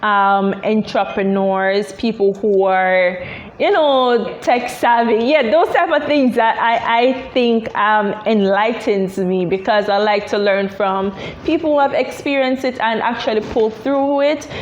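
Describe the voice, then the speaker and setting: A woman with a Jamaican accent speaks fairly slowly in a fairly high pitch, her loudness very even. Noticeable background noise sits behind her. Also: ordinary pitch variation. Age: 20s. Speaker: tech entrepreneur. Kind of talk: interview. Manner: halting, many fillers.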